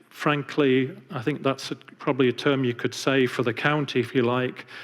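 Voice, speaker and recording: A man with an English accent speaks at a moderate pace, his intonation fairly even. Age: 50s. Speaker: architect and architecture professor. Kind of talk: public lecture. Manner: hesitant, many fillers.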